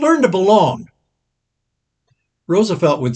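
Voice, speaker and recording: A man speaks at a moderate pace in a somewhat breathy voice. His pitch swings very widely. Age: 80s+. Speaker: pastor. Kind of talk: Bible class teaching.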